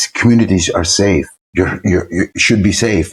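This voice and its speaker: Somewhat breathy, a man talks at a fairly quick pace in an Irish accent. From Ireland. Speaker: politician, artist. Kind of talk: interview answer. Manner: clear, crisp.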